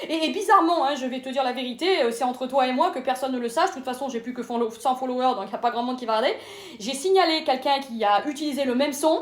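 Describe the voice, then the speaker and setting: Over noticeable background noise, a woman with a high pitch talks very fast in an animated tone, her pitch varying in an ordinary way. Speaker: comedian. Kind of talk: stand-up.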